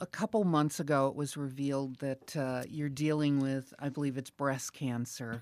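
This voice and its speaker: The speech moves at a moderate pace with hardly any pauses, in a very clean recording with a silent background. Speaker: radio bureau chief. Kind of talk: interview.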